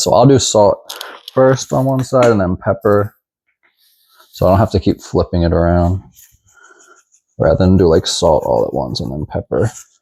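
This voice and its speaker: A man with an American accent speaks in a relaxed tone at a moderate pace. He takes long, frequent pauses. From Texas. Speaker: home cook. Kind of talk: cooking tutorial. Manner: casual, relaxed.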